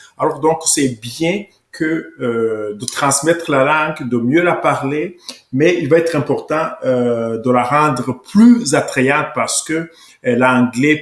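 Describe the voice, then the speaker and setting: A man is talking. His pace is very slow. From Rwanda. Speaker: political commentator. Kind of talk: interview.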